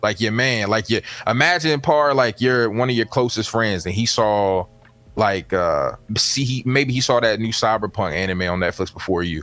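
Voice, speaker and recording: Music plays in the background while a man speaks. His pace is moderate and his pitch variation ordinary. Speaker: YouTube content creator. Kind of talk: casual chat.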